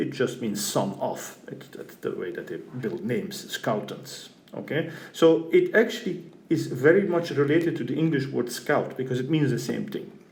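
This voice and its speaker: With audible room echo, a fairly high-pitched man speaks at a moderate pace, his intonation lively. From Belgium (Flanders). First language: Flemish Dutch. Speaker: university professor. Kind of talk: lecture. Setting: recorded lecture video.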